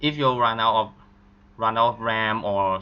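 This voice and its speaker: This man has a non-native accent. He talks at a fairly slow speed. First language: not English. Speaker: game modding tutorial maker. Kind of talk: screen-recorded tutorial.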